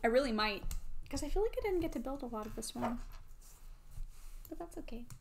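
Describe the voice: A woman with a Midwestern accent speaks at a fairly quick pace, her voice high-pitched and slightly mellow. Her intonation is lively, with some vocal fry. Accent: American Midwestern.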